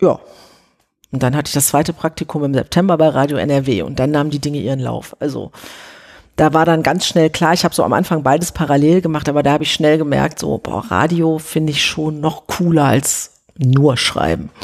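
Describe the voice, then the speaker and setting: A woman speaks at a fairly quick pace in a very deep, low voice with vocal fry. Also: ordinary pitch variation. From Ruhr area, Germany (Oberhausen). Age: 40s. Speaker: TV journalist. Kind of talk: interview, casual chat. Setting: at home on a sofa.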